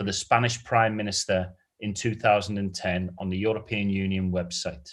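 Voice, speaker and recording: In a quiet background, a man with a British accent talks at a moderate pace in a fairly low pitch. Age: 40s. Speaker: quiz host. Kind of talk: live quiz hosting. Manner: animated.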